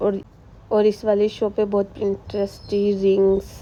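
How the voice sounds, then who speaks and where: The voice belongs to a woman speaking at a medium pitch. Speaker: vlogger. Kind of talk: travel vlog voiceover. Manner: casual, chatty.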